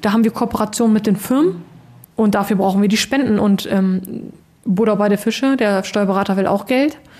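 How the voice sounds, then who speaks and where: A woman talks at a fairly quick pace, her intonation fairly even and her loudness very even. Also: medium pitch for a woman. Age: 30s. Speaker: acid attack survivor and beautician. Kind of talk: interview. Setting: in person. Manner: frequent hesitations (ähm, äh).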